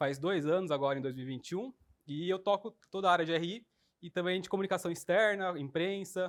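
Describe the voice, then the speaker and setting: Words tumble out at a very fast pace, carried by lively intonation. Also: man. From Brazil, São Paulo countryside (Sumaré). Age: 20s. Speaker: investor relations coordinator. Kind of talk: interview.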